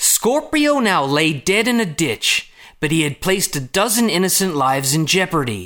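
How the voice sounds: In a put-on character voice with an American accent, a man speaks fairly slowly at a fairly high pitch, his tone bright and sharp and his pitch swinging widely.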